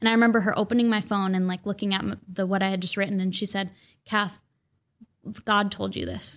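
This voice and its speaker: Talking very fast in a flat monotone, a woman with an American accent speaks at medium pitch in a very clean recording with a silent background. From Minnesota, suburbs of Minneapolis. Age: 20s. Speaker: poet and writer. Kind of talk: casual interview chat.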